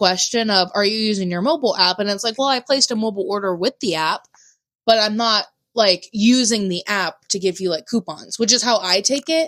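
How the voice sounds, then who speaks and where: A loud voice with an American accent speaks at a fairly quick pace with lively intonation. The recording is very clean, with a silent background. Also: woman. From US South. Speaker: podcast co-host. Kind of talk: casual chat.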